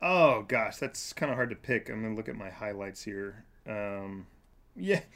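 In a normal speaking voice with an American accent, the speaker talks at a moderate pace with ordinary pitch variation and big swings in loudness, in a very clean recording with a silent background. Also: man, fairly low pitch for a man. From Kansas. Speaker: nonprofit director working with refugees. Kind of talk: casual chat.

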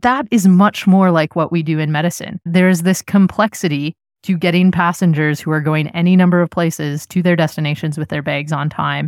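A woman with a Canadian accent speaks in a plain, everyday voice at a fairly low pitch, fairly quickly with hardly any pauses and fairly even intonation, on a very clean recording with a silent background and a dry, close sound with no echo. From Canada, Nova Scotia. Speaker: emergency physician. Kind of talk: interview.

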